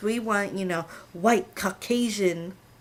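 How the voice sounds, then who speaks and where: A woman with an American accent, medium pitch and ordinary pitch variation at a moderate pace in a plain, everyday voice. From California, US. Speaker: assistant language teacher, vlogger. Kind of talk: casual vlog monologue.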